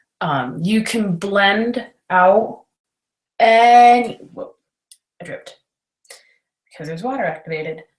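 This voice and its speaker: Somewhat breathy, a woman talks fairly slowly at a medium pitch, with long, frequent pauses. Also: lively intonation. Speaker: makeup tutorial host. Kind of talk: tutorial. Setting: video call livestream. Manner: giggly.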